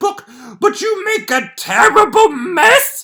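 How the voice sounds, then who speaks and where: A man projects his voice loudly. His tone is bright and sharp. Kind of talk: casual comedic read-aloud of a children's book with commentary. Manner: tipsy, jokey, chatty.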